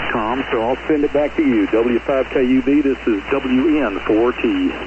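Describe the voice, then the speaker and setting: At a moderate pace, a man with a medium-pitched voice speaks with fairly even intonation and very even loudness over noticeable background noise. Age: 60s. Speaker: ham radio operator checking into a net. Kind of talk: radio net check-in. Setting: amateur radio transmission.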